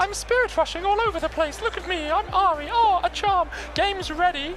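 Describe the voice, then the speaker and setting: Someone uses a put-on character voice at a fairly quick pace over loud background noise. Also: man, extremely high pitch for a man. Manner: showy, boastful.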